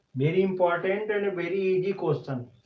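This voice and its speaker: A man with an Indian accent speaks at a moderate pace, sounding somewhat breathy. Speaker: chemistry teacher. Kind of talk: lecture. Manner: halting.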